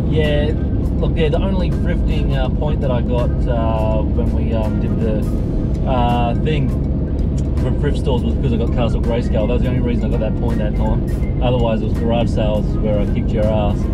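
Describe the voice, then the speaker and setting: Music sounds in the background. A man talks fairly quickly over it. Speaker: vlogger driving. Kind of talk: casual vlog chat. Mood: playful competitive banter. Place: car. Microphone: phone near.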